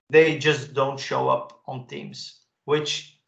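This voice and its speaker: A man speaks with a Dutch accent. His pitch sits fairly high. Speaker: tech expert presenter. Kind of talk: webinar presentation.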